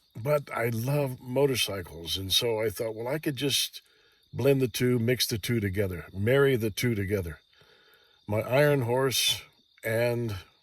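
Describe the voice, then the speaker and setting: A relaxed man with an American accent speaks at a fairly slow pace in a medium, somewhat breathy pitch with ordinary pitch variation, captured in a very clean recording against a silent background. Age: 60s. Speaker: vlogger. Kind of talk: casual monologue. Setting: lying in a Jeep outdoors at night. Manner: relaxed, hesitant with fillers.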